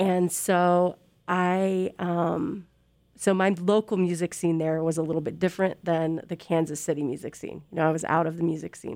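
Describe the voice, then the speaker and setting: A woman talks at a moderate pace with a fairly low pitch. The recording is very clean, with a silent background. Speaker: radio DJ and music coordinator. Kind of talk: casual interview chat. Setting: studio. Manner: animated.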